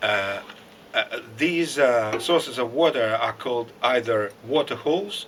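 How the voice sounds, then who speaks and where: Talking at a very slow pace with a Russian accent, a man uses a medium pitch and lively intonation. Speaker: lecturer. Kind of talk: lecture. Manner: halting.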